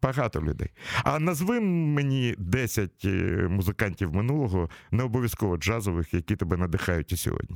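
On a very clean recording with a silent background and a dry, close sound with no echo, a man speaks at a moderate pace with a fairly low pitch, very wide pitch swings and very even loudness. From Ukraine, Kyiv. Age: 60s. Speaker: radio host. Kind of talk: casual interview. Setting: studio.

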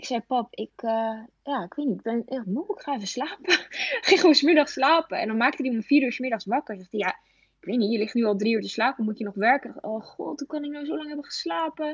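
Delivered at a very fast pace with lively intonation, the sound is dry and close with no echo. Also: woman, high pitch for a woman. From Netherlands, Veluwe in Gelderland. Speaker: elite athlete and influencer. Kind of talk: interview. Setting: phone call.

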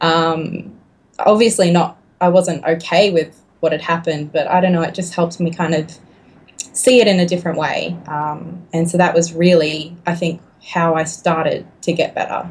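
With an Australian accent, a woman speaks at a moderate pace in a fairly low, somewhat breathy, monotone voice. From Australia, Griffith NSW, now Melbourne. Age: 20s. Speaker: YouTuber, tarot reader. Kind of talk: casual chat interview. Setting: remote call.

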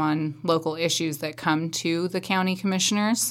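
A woman with an American accent speaks at a moderate pace in a fairly low pitch. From central Oregon, US. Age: 30s. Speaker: county commission candidate. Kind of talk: candidate interview.

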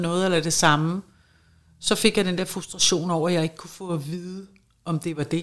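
A woman with a fairly low pitch speaks in a monotone, flat way at a moderate pace, in a very clean recording with a silent background. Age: 50s. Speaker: schoolteacher and long covid patient. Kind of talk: interview.

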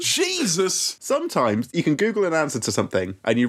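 In a British accent, the speaker's pitch swings very widely. The recording is very clean, with a silent background. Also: man. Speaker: podcast host. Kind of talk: casual comedic banter.

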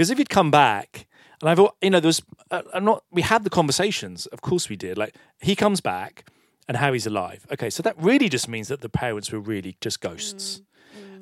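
A man's very fast delivery, with very wide pitch swings, big shifts in loudness, and a dry, close sound free of echo. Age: 50s. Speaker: film director. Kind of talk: public onstage interview. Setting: stage with audience.

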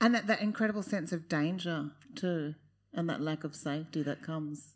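The speaker is a woman with an Australian accent. Her pitch varies in an ordinary way on a very clean recording with a silent background. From Queensland, Australia. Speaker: panel moderator. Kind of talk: live panel discussion. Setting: stage with audience.

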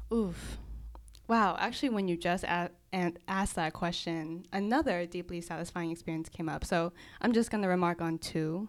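At a moderate pace, a woman with an unremarkable speaking voice talks at a fairly low pitch with ordinary pitch variation, on a very clean recording with a silent background. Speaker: podcast co-host, physician. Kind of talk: casual chat.

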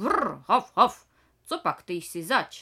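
This is a put-on character voice with a fairly high pitch. Its pitch swings very widely. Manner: barking, curious.

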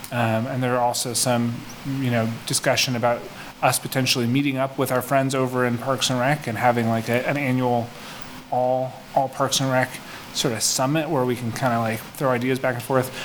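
Amid noticeable background noise, a man with a medium pitch speaks fairly quickly in a flat monotone. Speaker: commission chair. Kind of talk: formal meeting discussion. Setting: video call meeting.

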